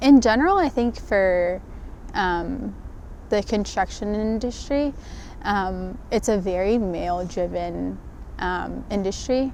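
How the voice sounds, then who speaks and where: Soft-spoken delivery at a very slow pace, with ordinary pitch variation. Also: woman, medium pitch for a woman. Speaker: construction project manager. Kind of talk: interview testimony. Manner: hesitant, many fillers.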